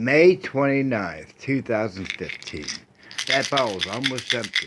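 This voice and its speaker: Over noticeable background noise, a man of medium pitch talks at a very slow pace. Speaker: video blogger. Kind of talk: casual monologue. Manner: halting.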